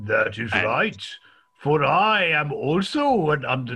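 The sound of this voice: The speaker puts on a character voice with very wide pitch swings and a fairly slow pace. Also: man, fairly high pitch for a man.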